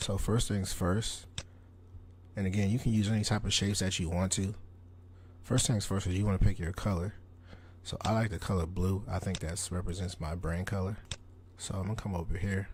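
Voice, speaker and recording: A man speaks at a fairly quick pace in a very deep, low, somewhat breathy monotone, broken by long, frequent pauses. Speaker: tutorial creator. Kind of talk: tutorial. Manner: casual.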